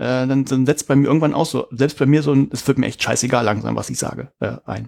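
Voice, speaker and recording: This man mumbles at a fairly quick pace. His voice sits fairly high for a man. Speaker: podcast co-host, education researcher. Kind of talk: casual chat. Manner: mumbling.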